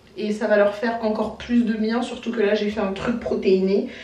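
At a moderate pace, a woman with a medium pitch speaks in a slightly mellow tone amid strong room echo.

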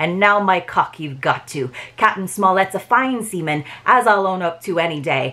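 Natural-voiced reading aloud, with pitch moving up and down in an ordinary way

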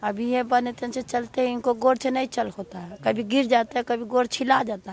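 The speech comes at a fairly slow pace with fairly even intonation, over light background noise, in a dry sound with no echo. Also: woman. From Bihar. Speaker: wife of interviewee; interviewee. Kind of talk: testimony. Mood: earnest, pleading. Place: street. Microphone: handheld.

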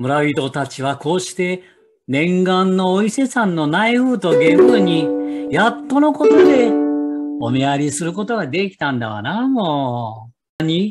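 Over music in the background, a man with a fairly high pitch speaks at a fairly slow pace with very wide pitch swings. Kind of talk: folk tale storytelling.

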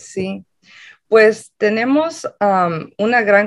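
Against a quiet background, a woman's voice shows ordinary pitch variation. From Los Angeles, California. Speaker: community organizer. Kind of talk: interview. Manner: hesitant, many fillers. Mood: friendly, smiling. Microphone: video call.

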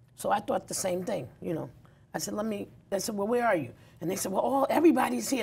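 Speaking at a very fast pace with a New York accent, a woman at medium pitch uses very wide pitch swings, with vocal fry and a dark, mellow tone. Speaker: community activist and nonprofit founder; talk show guest. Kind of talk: interview. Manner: animated, laughs often. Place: studio.

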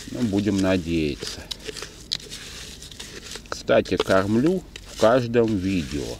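A man speaks very slowly in a very deep, low voice, the sound dry with no echo but with noticeable background noise. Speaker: angler vlogger. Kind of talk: casual vlog chat. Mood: relaxed, slightly ironic. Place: waterside. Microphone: phone near.

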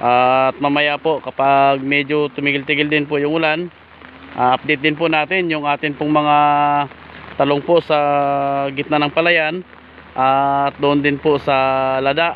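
Fairly slow and monotone, a man speaks at a very even loudness, the sound dry with no echo and light background noise. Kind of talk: casual vlog chat. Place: rain. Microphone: phone near.

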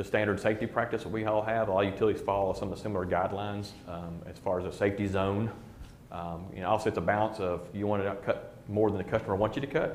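A man talks at a fast pace with few pauses, his fairly low pitch showing little movement.

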